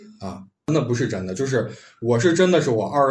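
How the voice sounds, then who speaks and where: A man talks at a very fast pace with lively intonation and a somewhat breathy voice, with audible room echo around him. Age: 30s. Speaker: podcast host. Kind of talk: casual chat.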